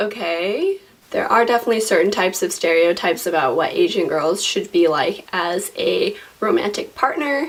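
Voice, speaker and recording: With an American accent, a woman speaks at a moderate pace and very even loudness amid noticeable background noise. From US. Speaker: vlogger. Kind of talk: casual vlog talk.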